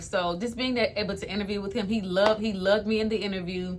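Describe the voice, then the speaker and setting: In a room with audible echo, a woman talks at a very fast pace in an animated tone. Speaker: lifestyle vlogger. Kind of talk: storytime testimony. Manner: fast when excited.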